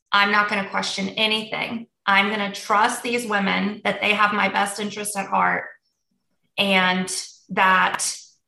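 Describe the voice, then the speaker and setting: In a room with audible echo, a woman speaks in a flat monotone. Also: medium pitch for a woman, fairly slow pace. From United States, raised in a Polish family. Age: 30s. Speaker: weight loss client. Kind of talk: personal testimony in an interview.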